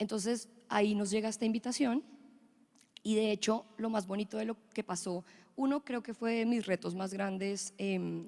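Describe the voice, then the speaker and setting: Dry and close with no echo, a woman's dark, mellow voice at a fairly high pitch moves at a moderate pace with fairly even intonation. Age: 30s. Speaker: fashion designer. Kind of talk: conference panel talk.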